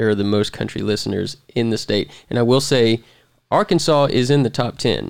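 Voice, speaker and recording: An ordinary speaking voice belongs to this man, at a medium pitch. He keeps a moderate pace with ordinary pitch variation. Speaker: podcast host. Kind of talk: casual chat.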